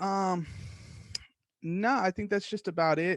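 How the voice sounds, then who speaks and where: A loud, high-pitched man's voice at a very slow pace, dry and close with no echo, against a quiet background. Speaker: podcast host. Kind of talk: casual monologue. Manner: animated.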